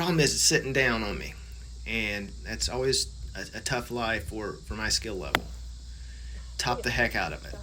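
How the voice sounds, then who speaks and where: With an American accent, a man speaks at a very deep, low pitch that swings very widely, leaving long, frequent pauses in audible room echo. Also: moderate pace. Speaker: amateur golf vlogger. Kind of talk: casual vlog voiceover commentary. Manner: relaxed, conversational.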